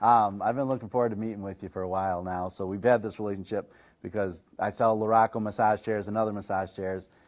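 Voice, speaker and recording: Over a very clean, silent background, a man talks very fast with hardly any pauses. His fairly low voice stays monotone and flat. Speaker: chiropractor and massage chair reviewer. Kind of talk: podcast interview. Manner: casual, natural.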